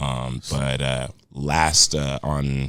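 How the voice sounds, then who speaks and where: A man speaks with a very deep, low pitch. There is noticeable background noise. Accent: American. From Denver, Colorado. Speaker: rapper and model. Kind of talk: casual interview.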